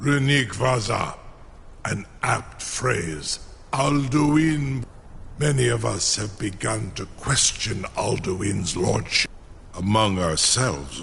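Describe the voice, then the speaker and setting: A man's put-on character voice at medium pitch and a very slow pace, with clear background noise. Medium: video game. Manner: slow, formal, proud.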